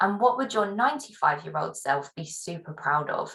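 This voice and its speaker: A woman talks at a moderate pace in a normal speaking voice. Her pitch variation is ordinary. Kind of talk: webinar talk.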